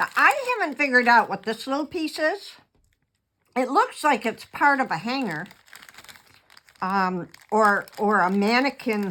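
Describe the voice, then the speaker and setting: Pitch swings very widely at a fairly slow pace. Long, frequent pauses break up the speech. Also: woman, high pitch for a woman. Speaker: card-making crafter. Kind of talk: tutorial. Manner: casual, hesitant with fillers.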